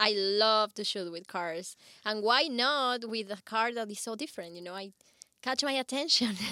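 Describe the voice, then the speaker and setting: A woman with a Spanish accent speaks at a moderate pace in a fairly high voice with ordinary pitch variation. Her tone is bright, sharp and cheerful, with big swings in loudness. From Ecuador. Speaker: bikini model and belly dancer. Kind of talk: casual interview chat. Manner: cheerful, laughs often.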